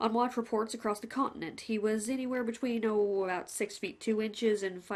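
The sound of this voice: It is an unforced reading voice. The words come out read in an unforced way.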